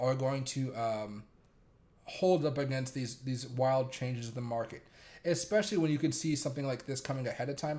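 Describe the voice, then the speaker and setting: Speaking at a fairly quick pace, a man keeps his medium pitch in fairly even intonation. His voice is somewhat breathy. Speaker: crypto and stock market streamer. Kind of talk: live market commentary stream. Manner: monotone; casual, rambling with fillers.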